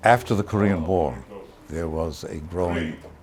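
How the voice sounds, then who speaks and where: Noticeable background noise sits behind the speaker. He is a man with a very deep, low pitch. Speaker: lawyer and martial arts master. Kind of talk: documentary interview.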